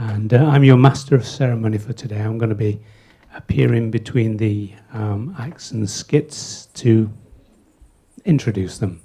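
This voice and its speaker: Here a man with a dark, mellow tone speaks at a medium pitch, somewhat breathy, at a moderate pace and with ordinary pitch variation. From England. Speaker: master of ceremonies. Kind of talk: event hosting. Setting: stage with audience. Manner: casual, joking.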